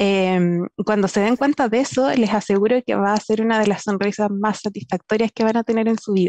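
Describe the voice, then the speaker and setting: A woman speaks at a fairly quick pace with a fairly high pitch, fairly even intonation, very even loudness and hardly any pauses, in a dry sound with no echo. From southern Chile, Temuco; Chile. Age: 20s. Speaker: software engineer; guest. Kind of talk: personal story in panel talk. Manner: halting, many fillers. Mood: warm, smiling, encouraging. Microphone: headset.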